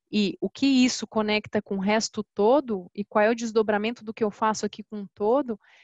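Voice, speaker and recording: At a moderate pace, a woman talks in a normal speaking voice pitched fairly high. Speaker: customer success specialist. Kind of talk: webinar presentation. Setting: online webinar.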